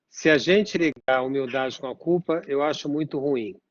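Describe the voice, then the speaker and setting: A man with a normal speaking voice and fairly high pitch talks at a moderate pace with ordinary pitch variation. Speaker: psychoanalyst. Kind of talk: interview.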